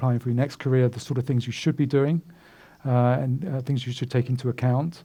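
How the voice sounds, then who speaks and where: This man has a British accent, a medium pitch and a dark, mellow tone that is somewhat breathy. He talks at a fairly quick pace on a very clean recording with a silent background. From UK. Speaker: recruiter and career speaker. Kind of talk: lecture. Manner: halting, many fillers.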